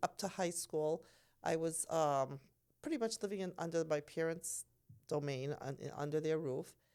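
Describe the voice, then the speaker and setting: Pitched fairly low, a woman with a plain, everyday voice speaks at a moderate pace with lively intonation on a very clean recording with a silent background. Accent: American. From Massachusetts, US. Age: 60s. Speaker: nurse. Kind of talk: casual chat.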